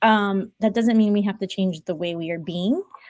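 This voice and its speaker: With a Spanish accent, a woman speaks at a moderate pace and medium pitch with ordinary pitch variation, her sound dry and close with no echo. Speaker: podcast co-host and coach. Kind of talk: casual chat. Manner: animated.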